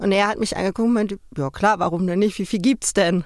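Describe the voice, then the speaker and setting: This woman has a plain, everyday voice with fairly even intonation. Her pitch sits in the medium range. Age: 30s. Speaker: interviewee, former magazine nude model. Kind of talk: interview.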